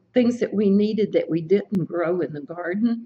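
A woman speaks in a somewhat breathy voice with an American accent. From Brooksville, Florida, US. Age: 80s+. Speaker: oral history interviewee. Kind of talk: oral history interview answer. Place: office.

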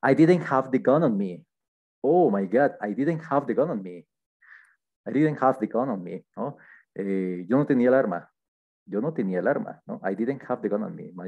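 Against a quiet background, a man speaks at a moderate pace with very wide pitch swings and long, frequent pauses. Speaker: English teacher. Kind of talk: lesson. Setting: screen-shared online class. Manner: halting, with frequent fillers. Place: home room. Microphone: headset.

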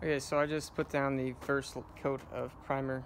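The voice stays in a flat monotone against noticeable background noise. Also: man. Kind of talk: tutorial. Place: garden. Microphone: phone near.

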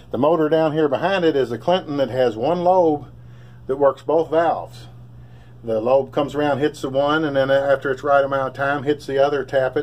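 A man with a Kentucky accent talks at a fairly quick pace, his fairly high pitch held in fairly even intonation. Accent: Kentucky Southern US. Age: 60s. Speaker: hobbyist bike builder. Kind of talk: casual show-and-tell. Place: garage. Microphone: phone near.

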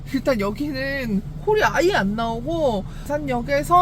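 Noticeable background noise sits behind a woman's voice. She talks at a moderate pace with very wide pitch swings. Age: 30s. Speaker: designated driver and car delivery driver. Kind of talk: casual vlog talk to camera.

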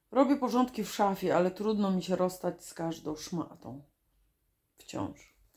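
Lively intonation and big swings in loudness mark this unremarkable speaking voice, which moves at a fairly slow pace. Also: woman, medium pitch for a woman. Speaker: video diarist. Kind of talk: reading aloud.

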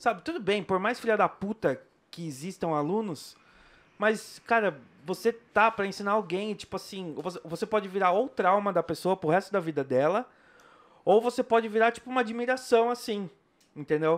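The man's voice is high-pitched, with ordinary pitch variation. He talks at a moderate speed. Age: 30s. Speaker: podcast host. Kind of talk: casual interview. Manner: animated. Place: studio. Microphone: studio mic.

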